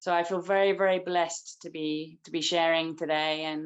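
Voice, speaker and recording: A woman with an English accent at a moderate pace. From England. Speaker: spiritual practitioner. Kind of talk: testimony. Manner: halting.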